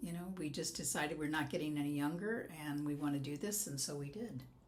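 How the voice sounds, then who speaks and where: With an American accent, a woman speaks in a very deep, low pitch amid audible room echo and noticeable background noise. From US West Coast. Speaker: life coach. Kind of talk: podcast interview.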